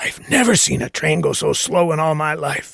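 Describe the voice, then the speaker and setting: Loud and raspy, a man does a put-on character voice at a fairly high pitch and a moderate pace. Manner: insistent, distressed.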